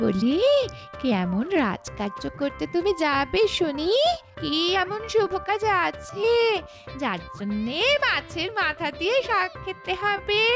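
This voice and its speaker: Doing a cartoonish character voice at an extremely high pitch, a woman talks very slowly as clear music plays in the background. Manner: nagging, sarcastic.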